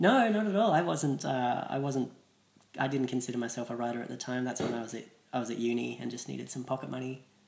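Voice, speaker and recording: A man speaks at a very fast pace with an Australian accent. His pitch varies in an ordinary way. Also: medium pitch for a man. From Australia, Adelaide. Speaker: comedian. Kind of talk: casual chat.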